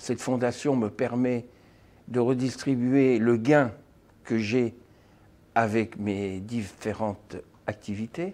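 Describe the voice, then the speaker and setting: Speaking at a very slow pace with long, frequent pauses, a man uses a dark, mellow tone at medium pitch with ordinary pitch variation. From France. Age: 60s. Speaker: therapist. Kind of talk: self-presentation to camera. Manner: halting, with frequent hesitations.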